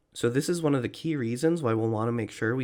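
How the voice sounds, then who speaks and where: In a normal speaking voice, a man talks at a fairly quick pace with medium pitch and ordinary pitch variation, recorded very cleanly over a silent background. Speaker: test prep tutor. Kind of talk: tutorial.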